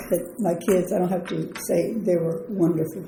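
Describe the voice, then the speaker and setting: Over noticeable background noise, a woman with an American accent speaks with fairly even intonation. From south Texas. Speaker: retired senior center member. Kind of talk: interview answer.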